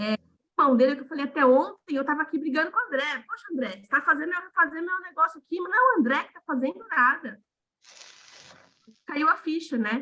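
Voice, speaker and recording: A raised, projected voice delivers the words at a very fast pace. The tone is bright and sharp. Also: woman. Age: 40s. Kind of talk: casual chat. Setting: video call. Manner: animated.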